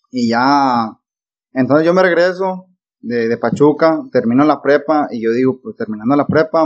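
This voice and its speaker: This man has a plain, everyday voice with ordinary pitch variation. He talks at a fairly slow pace. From Mexico, Nayarit (born Sinaloa). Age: 20s. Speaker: pilot. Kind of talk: casual chat.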